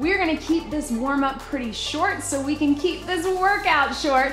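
A woman at a moderate pace, with faint background music and audible room echo. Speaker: fitness instructor. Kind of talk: workout instruction. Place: gym.

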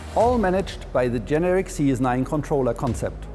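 Clear music plays behind a man who talks at a moderate pace. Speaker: presenter. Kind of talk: corporate product presentation. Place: hall. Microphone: lapel.

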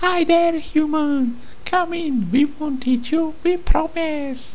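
A put-on character voice speaks at a high pitch and a fairly slow pace. Clear background noise runs underneath. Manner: perky, cheerful.

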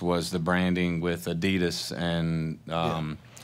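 The speaker is a man. He talks with a Southern US accent. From Mississippi. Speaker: panel moderator, music industry entrepreneur; panel moderator. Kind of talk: panel presentation. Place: hall. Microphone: podium.

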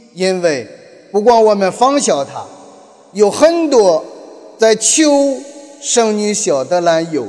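Over noticeable background noise, a man speaks very slowly at a high pitch with very wide pitch swings. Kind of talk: sermon. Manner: halting.

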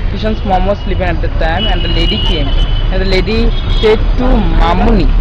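A man talks at a moderate pace. The sound is dry with no echo, and there is noticeable background noise. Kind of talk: casual vlog chat. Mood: concerned, earnest. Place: street. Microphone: phone near.

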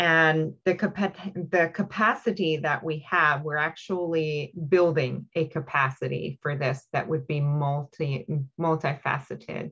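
At a fairly slow pace and with ordinary pitch variation, a woman speaks in a very deep, low pitch against a quiet background. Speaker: regional health organization representative. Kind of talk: public board meeting. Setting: video call. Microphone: video call.

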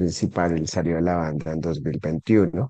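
A man speaks at a very slow pace in a very deep, low voice that is dark and mellow in tone. The background is quiet and the sound is dry, with no echo. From Colombia, Santander (Bucaramanga), moved around; Santander, Colombia. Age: 40s. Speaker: rock musician and lawyer; lawyer. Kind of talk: interview. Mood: calm, relaxed. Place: home room. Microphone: video call.

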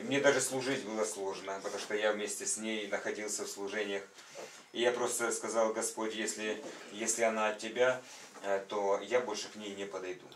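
A man speaks at a moderate pace and fairly low pitch, his intonation monotone and flat. Audible room echo and light background noise surround the voice. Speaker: church member. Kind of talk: testimony. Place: home room.

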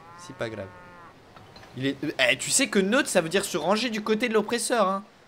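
With noticeable background noise, a man at a high pitch talks at a moderate pace, with long, frequent pauses and big swings in loudness. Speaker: gaming YouTuber. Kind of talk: casual let's play commentary. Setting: online voice chat. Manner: animated.

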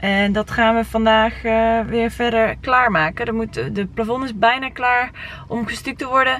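Woman speaking at a fairly slow pace, the sound dry with no echo. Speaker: vlogger renovating a house. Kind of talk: casual vlog chat. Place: car. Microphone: phone near.

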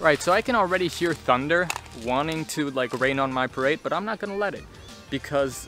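Clear music plays behind a man speaking at a fairly quick pace, and the sound is dry with no echo. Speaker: toy blaster reviewer. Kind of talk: casual review vlog chat. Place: garden.

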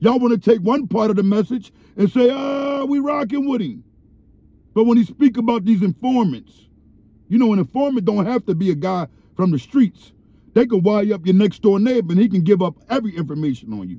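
A man speaks at a fairly quick pace in a dark, mellow tone. The sound is dry, with no echo. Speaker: commentator. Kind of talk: commentary. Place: car. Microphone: phone near.

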